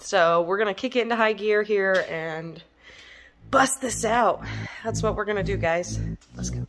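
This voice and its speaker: Music playing behind a woman's moderately paced voice. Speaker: car hobbyist vlogger. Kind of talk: casual vlog chat. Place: garage. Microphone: phone near.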